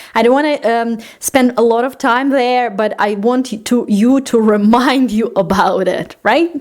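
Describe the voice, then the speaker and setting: A woman speaks at a high pitch and a fairly slow pace with ordinary pitch variation and very even loudness. Noticeable background noise is present. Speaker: life coach and podcast host. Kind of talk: solo podcast talk. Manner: hesitant fillers.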